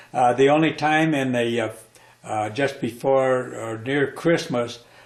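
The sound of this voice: Heard with audible room echo, a man talks at a medium pitch and a fairly slow pace.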